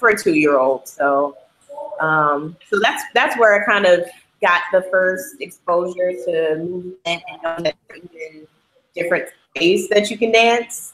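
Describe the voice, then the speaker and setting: A woman with an American accent has an ordinary speaking voice, fairly low in pitch, with lively intonation and big swings in loudness. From Atlanta, Georgia, US South. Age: 20s. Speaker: dancer and choreographer. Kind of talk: interview. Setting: video call.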